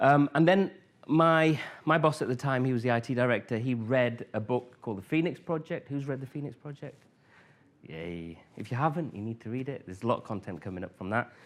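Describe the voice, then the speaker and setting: With a northern English accent, a man at medium pitch moves through very wide pitch swings and big swings in loudness at a fairly quick pace against a quiet background. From northern England, Grimsby. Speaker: conference speaker, former IT manager. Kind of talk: conference talk. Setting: stage with audience. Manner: hesitant, many fillers.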